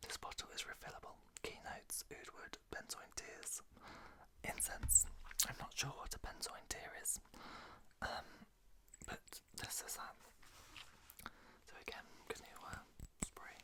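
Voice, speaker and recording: A man whispers with a British accent at a fairly slow pace. His long, frequent pauses sit over noticeable background noise. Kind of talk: casual talk to camera. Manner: whispered.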